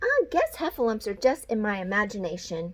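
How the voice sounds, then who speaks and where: Using a put-on character voice, a woman speaks fairly high and at a fairly quick pace. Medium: read story. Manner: nervous, fretful.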